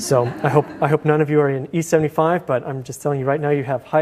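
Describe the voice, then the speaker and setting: Over noticeable background noise, a man with a fairly high pitch speaks at a very fast pace with ordinary pitch variation. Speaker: university lecturer. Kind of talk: lecture. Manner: frequent fillers and restarts.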